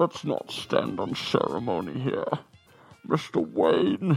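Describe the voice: A man's put-on character voice at a very slow pace, with faint music in the background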